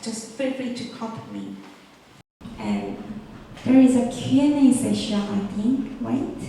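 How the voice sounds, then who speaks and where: A woman with a Korean accent is heard with audible room echo and noticeable background noise. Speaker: conference organizer. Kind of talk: presentation. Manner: halting.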